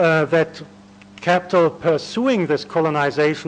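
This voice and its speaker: Noticeable background noise sits under a man with a German accent and a high pitch. He talks at a moderate pace with fairly even intonation. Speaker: academic conference speaker. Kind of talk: academic lecture. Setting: conference panel. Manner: hesitant, many fillers.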